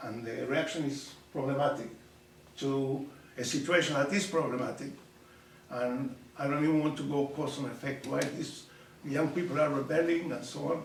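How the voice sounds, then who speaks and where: A man talks at a moderate pace in a fairly high pitch, with fairly even intonation and long, frequent pauses. Noticeable background noise and audible room echo fill the recording. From Argentina. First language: Spanish. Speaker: professor. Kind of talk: public talk. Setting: community center audience.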